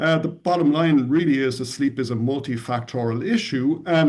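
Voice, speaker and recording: Lively intonation marks a voice with an Irish accent moving at a moderate pace. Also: man. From Ireland, Dublin. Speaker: tech company CEO. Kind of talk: podcast interview.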